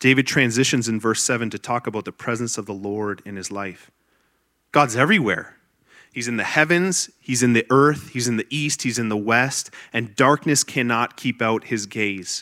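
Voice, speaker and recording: A man with a Canadian accent speaks at medium pitch and a moderate pace, in an animated, bright, sharp tone with ordinary pitch variation. The recording is very clean, with a silent background and a dry, close sound with no echo. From Ontario, Canada. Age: 30s. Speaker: pastor. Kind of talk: sermon.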